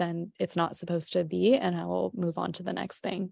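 A woman talks at a fairly low pitch in an ordinary speaking voice. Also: quiet background. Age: 30s. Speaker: pottery glaze business owner. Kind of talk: casual chat. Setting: video call.

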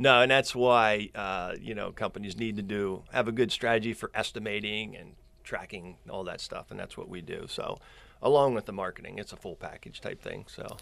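Against a quiet background, a man with a Central Pennsylvania accent keeps his intonation fairly even while his loudness swings a lot. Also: medium pitch for a man, moderate pace. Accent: Central Pennsylvania American. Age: 50s. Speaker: social media marketer, former landscaping business owner. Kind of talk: casual interview chat. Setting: studio.

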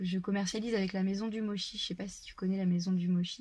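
A woman speaks at a fairly quick pace and medium pitch, in a monotone, flat intonation. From France, Touraine. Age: 30s. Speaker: farmer. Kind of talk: casual chat.

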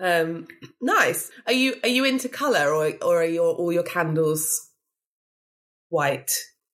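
Speaking with a British accent, a woman uses a fairly low pitch and very even loudness. Her pace is very slow, with long, frequent pauses. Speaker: podcast host. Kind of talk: casual interview chat.

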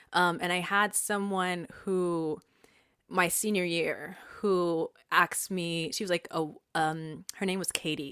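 A woman with a Californian accent speaks at a very slow pace, her fairly low voice bright and sharp in tone with fairly even intonation. The recording is very clean, with a silent background. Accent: Californian American. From Southern California, Inland Empire. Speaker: performance artist and professor. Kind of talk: casual interview chat.

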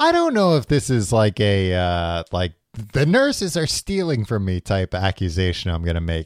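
A man with a fairly low pitch talks at a moderate pace with lively intonation in a plain, everyday voice. The recording is very clean with a silent background and a dry, close sound with no echo. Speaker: podcast host. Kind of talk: casual chat. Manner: joking, bantering.

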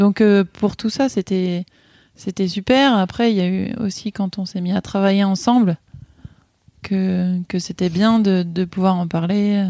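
A woman speaks very slowly with long, frequent pauses, her dark, mellow voice medium in pitch and fairly even in intonation, in a dry, close sound with no echo. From rural eastern France (Ain). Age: 30s. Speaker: manager, mother, interviewee. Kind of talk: casual interview conversation. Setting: at home in a village.

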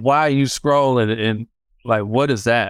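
In a very clean recording with a silent background, a man speaks with a Detroit accent. His medium-pitched voice sounds animated at a fairly slow pace. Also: dry, close sound with no echo. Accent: Detroit American English. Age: 40s. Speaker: DJ and record store buyer. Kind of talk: interview.

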